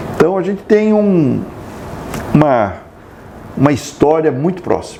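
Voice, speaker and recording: A man at a fairly slow pace, over noticeable background noise. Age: 60s. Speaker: president of an Italian social club. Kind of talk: interview. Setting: on location at the club. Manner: halting, repeats words.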